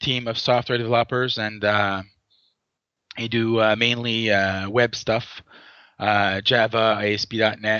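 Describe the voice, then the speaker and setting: A moderate pace and fairly even intonation, with a French accent. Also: man. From Quebec. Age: 40s. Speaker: software team manager. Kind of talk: interview. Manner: halting, many fillers.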